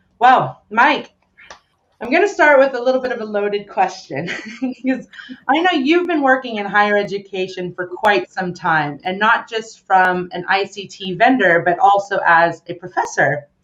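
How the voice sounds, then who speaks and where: A woman at a medium pitch with an American accent, a moderate pace and very wide pitch swings. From United States. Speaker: webinar host. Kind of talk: live webinar interview.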